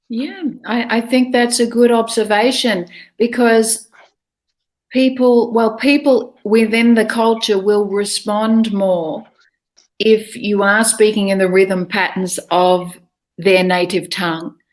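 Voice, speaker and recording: Speaking very slowly with an Australian accent, a woman uses a fairly high pitch and ordinary pitch variation. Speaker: English speaking coach. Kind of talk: online interview.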